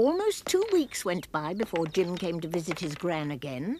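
Noticeable background noise sits behind a woman's fairly low voice with ordinary pitch variation. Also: moderate pace. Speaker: voice actor. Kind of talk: children's story narration. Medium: cartoon.

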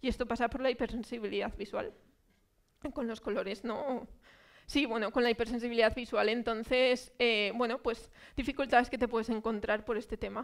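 Against a quiet background, a woman speaks at a moderate pace and fairly high pitch in a flat, monotone way. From Spain, Zaragoza; Spain. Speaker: speaker. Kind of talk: public talk. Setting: cultural centre with audience. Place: hall. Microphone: headset.

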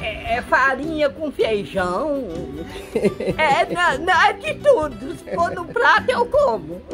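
Over clear music in the background, a voice moves at a very slow pace with very wide pitch swings. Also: woman, high pitch for a woman. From Minas Gerais, Brazil. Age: 80s+. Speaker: elderly farm resident. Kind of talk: interview answer. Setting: outdoors. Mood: cheerful, laughing. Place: farm. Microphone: phone near.

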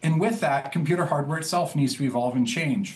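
His pitch moves with ordinary variation. The man keeps a fairly quick pace. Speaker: guest. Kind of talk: interview answer. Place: home room. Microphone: video call.

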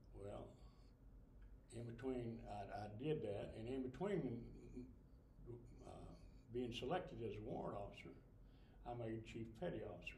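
A man speaks at a fairly slow pace, leaving long, frequent pauses. Light background noise and audible room echo surround him. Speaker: Navy veteran. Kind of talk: interview answer. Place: hall. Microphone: camera far.

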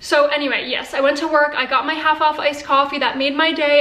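A woman projects a raised voice in monotone, flat intonation. The room echo is audible. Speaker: vlogger. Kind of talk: casual vlog chat. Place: kitchen. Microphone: phone near.

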